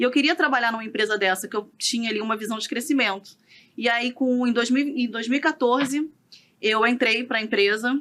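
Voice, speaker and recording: Ordinary pitch variation and a moderate pace in a woman's fairly high voice. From Rio de Janeiro, Brazil. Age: 30s. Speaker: real estate broker and business owner. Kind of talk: podcast interview. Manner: calm.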